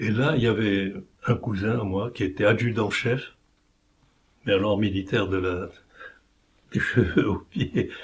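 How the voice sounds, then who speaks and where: A man speaks at a fairly slow pace with a fairly low pitch and fairly even intonation. His voice is somewhat breathy, with long, frequent pauses. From Morocco (Oujda). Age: 80s+. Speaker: war veteran. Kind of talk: interview testimony.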